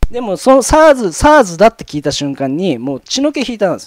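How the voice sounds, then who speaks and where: A man's voice makes very wide pitch swings in a dry, close sound with no echo. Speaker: YouTube commentator. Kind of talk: solo commentary reading paper. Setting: solo video recording. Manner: rambling, many fillers.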